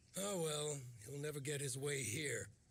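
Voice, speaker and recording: Putting on a character voice, a man speaks in a raspy, fairly high voice at a moderate pace with ordinary pitch variation. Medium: video game. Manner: swaggering, jovial.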